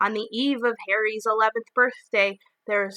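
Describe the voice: The text is read aloud plainly, the intonation fairly even. Behind it, the background stays quiet.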